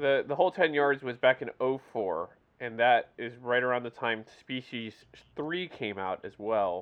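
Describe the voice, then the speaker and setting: At a fairly slow pace, a man speaks with an unremarkable speaking voice at a medium pitch. His pitch varies in an ordinary way while his loudness swings a lot. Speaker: podcast host. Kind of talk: casual chat.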